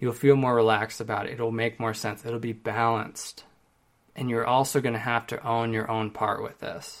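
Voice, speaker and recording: Monotone, flat intonation on a very clean recording with a silent background. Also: man. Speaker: relationship podcast host. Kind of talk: solo podcast monologue answering questions. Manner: rapid fire.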